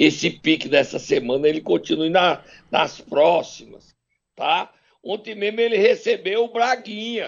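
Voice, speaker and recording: A man's high-pitched voice with very wide pitch swings, at a fairly slow pace. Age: 60s. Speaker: political commentator. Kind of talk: casual chat. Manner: animated.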